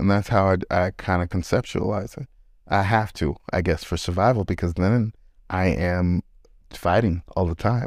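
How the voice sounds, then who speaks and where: Recorded very cleanly with a silent background, a man with a very deep, low voice talks at a fairly slow pace with ordinary pitch variation. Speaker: therapist and podcast host. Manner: nervous, laughs often.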